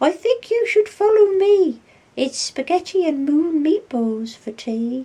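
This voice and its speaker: A woman's squeaky, put-on character voice, extremely high-pitched, with very wide pitch swings and a fairly slow pace. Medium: read story. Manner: stammering, anxious.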